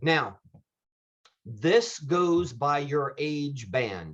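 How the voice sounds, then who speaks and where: Somewhat breathy tones come from a man. His pitch sits fairly high. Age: 50s. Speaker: insurance benefits agent. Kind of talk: presentation.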